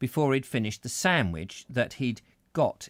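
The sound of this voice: The intonation is lively as an unforced reading voice goes through the text.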